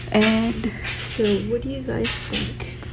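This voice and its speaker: A soft-spoken voice over music in the background. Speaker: art tutorial creator. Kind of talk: tutorial. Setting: home recording at night.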